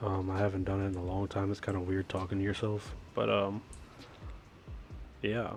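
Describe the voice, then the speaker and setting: Delivered in a monotone with flat intonation and very even loudness, a man's fairly low voice moves at a moderate pace. Long, frequent pauses break it up over music in the background. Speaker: gaming youtuber. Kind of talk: tutorial. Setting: game voiceover recording. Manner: hesitant, many fillers; casual.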